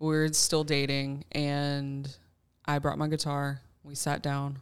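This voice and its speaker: On a very clean recording with a silent background, a woman speaks in a very deep, low voice with monotone, flat intonation. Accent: Southern US. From Alabama. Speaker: church worship leader and bassist. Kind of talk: casual round-table chat.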